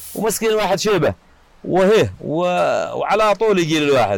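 Background noise is noticeable in this recording. A man talks with very wide swings in pitch. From Yemen, Yafa highlands. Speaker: tyre repair shop owner. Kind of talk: personal life story. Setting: his workshop. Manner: halting.

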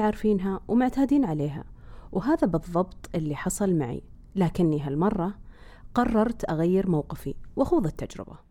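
Dark and mellow in tone, a woman speaks at a moderate pace with very wide pitch swings. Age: 40s. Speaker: podcast host. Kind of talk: scripted narration.

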